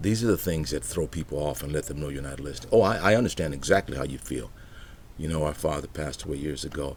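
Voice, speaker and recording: A man with a very deep, low pitch at a very fast pace, with audible room echo. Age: 60s. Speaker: pastor. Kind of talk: motivational talk.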